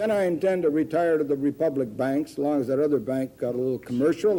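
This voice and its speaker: Against noticeable background noise, a man with an American accent talks at a fairly quick pace. His pitch is fairly high and his intonation lively. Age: 70s. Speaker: food company founder. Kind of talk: news interview.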